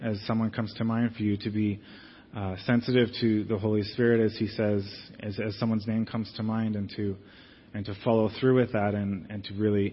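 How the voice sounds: Speaking at a fairly quick pace with few pauses, a man keeps a fairly low pitch with little pitch movement.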